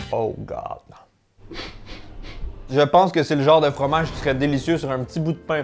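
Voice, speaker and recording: Music plays behind a man with a Quebec accent. He speaks at a moderate pace and a fairly high pitch. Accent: Québécois French. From Quebec, Canada. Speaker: food tasting YouTuber. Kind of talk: casual talk to camera, food tasting vlog.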